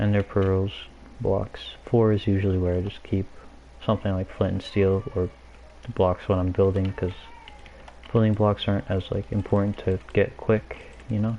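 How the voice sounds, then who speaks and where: Against noticeable background noise, a soft-spoken man talks at a moderate pace with fairly even intonation and long, frequent pauses. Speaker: gaming streamer. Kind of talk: casual live gameplay commentary. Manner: quiet, soft-spoken.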